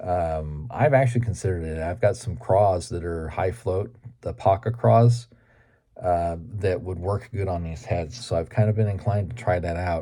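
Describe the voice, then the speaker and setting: A man with a very deep, low pitch speaks at a moderate pace with lively intonation. His somewhat breathy voice sounds dark and mellow in a very clean recording with a silent background. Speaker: fishing YouTuber. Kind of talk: casual vlog talk.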